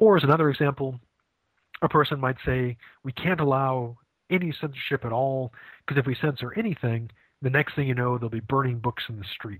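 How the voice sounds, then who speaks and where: With an American accent, a man talks fairly quickly in a normal speaking voice at medium pitch, with ordinary pitch variation. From Maine, US. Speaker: philosophy professor. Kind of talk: interview.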